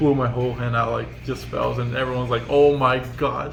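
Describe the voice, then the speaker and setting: A man talks with a non-native accent. Audible room echo and noticeable background noise fill the recording. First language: not English. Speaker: card game player. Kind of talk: casual deck profile chat.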